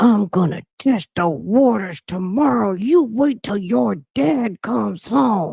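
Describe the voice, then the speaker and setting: A man's put-on character voice, high-pitched with very wide pitch swings, fairly slow yet with hardly any pauses, in a dry, close sound with no echo. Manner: speaking through clenched teeth.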